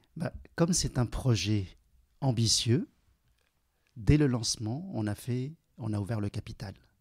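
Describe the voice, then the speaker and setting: Here a man with a medium pitch and lively intonation speaks somewhat breathily. He goes at a fairly slow pace, pausing long and often. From China, raised in central Paris from age 10. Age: 40s. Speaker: entrepreneur. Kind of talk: interview.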